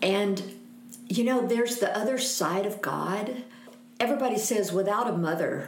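In an American accent, a woman speaks amid noticeable background noise and audible room echo. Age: 60s. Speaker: missionary. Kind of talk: casual interview chat.

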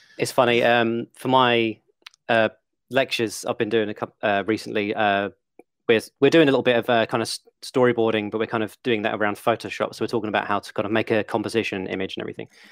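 With an English accent, a man speaks at a very fast pace in a medium pitch and monotone, flat intonation, the sound dry and close with no echo. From England. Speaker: game animator and video educator. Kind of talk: casual interview chat.

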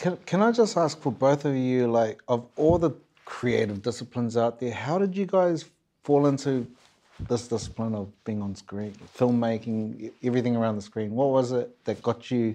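A man with a New Zealand accent, medium pitch and ordinary pitch variation. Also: moderate pace. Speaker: host. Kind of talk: casual chat.

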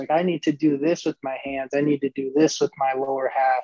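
A man's normal speaking voice with an American accent and fairly even intonation, in a dry, close sound with no echo. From northern US. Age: 20s. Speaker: professional baseball player. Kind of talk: casual interview.

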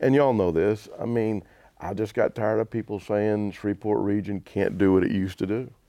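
A man with a Southern US accent, fairly low pitch, a dark, mellow tone, fairly even intonation and a fairly quick pace. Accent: US South. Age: 60s. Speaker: basketball team owner and entertainment promoter. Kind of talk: casual interview.

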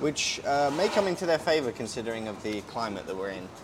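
A man speaks at a fairly quick pace with a medium pitch. Noticeable background noise runs behind him. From Britain. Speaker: podcast host. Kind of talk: casual chat. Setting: outdoors by hotel pool. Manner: relaxed.

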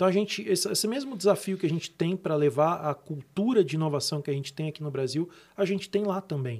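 With lively intonation and a high pitch, a man talks at a very fast pace with hardly any pauses. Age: 40s. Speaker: tech company executive. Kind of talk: podcast interview.

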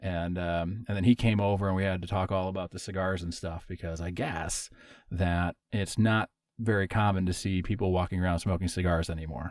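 A very deep-voiced man with an American accent and fairly even intonation, on a very clean recording with a silent background. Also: fairly quick pace. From Wisconsin, near Minnesota border. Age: 30s. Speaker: podcast host. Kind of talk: casual chat.

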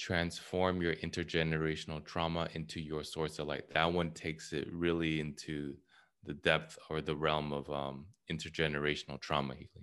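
An American accent with monotone, flat intonation against a quiet background. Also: man, very deep, low pitch for a man, moderate pace. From California. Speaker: author and trauma healing coach. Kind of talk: interview.

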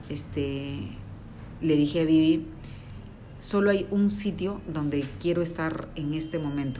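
Heard with audible room echo, a woman speaks at a very deep, low pitch with a dark, mellow tone. Her pace is fairly slow and her pitch varies in an ordinary way. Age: 40s. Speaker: interior designer. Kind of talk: interview.

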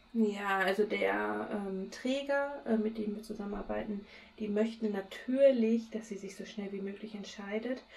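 The pace is fairly slow and the intonation fairly even, with big swings in loudness. Noticeable background noise can be heard. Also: woman, fairly high pitch for a woman. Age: 30s. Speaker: podcast co-host. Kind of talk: casual chat. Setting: recording from home, remote.

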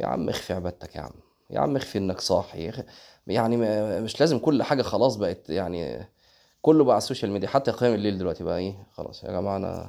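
In a very clean recording with a silent background, a man with an Egyptian accent talks at a very fast pace, his fairly low voice dark and mellow, his intonation lively. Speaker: Islamic preacher. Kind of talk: religious lesson. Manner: conversational.

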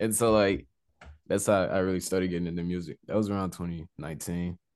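A man with a very deep, low pitch talks at a very fast pace. His intonation is fairly even, and the background is quiet. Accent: Texan. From Southeast Texas. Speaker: rapper. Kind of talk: casual interview.

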